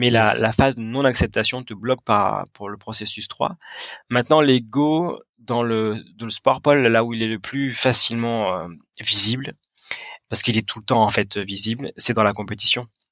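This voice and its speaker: A man with a normal speaking voice talks at a fairly slow pace at a medium pitch, with ordinary pitch variation and big swings in loudness. The sound is dry and close, with no echo. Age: 30s. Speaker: sports psychologist and mental coach. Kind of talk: interview.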